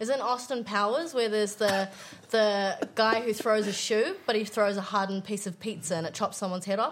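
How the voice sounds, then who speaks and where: Here is an unremarkable speaking voice from a woman with fairly high pitch and ordinary pitch variation. She talks at a fairly quick pace. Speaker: microbiologist and improviser. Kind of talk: comedy quiz show, casual banter.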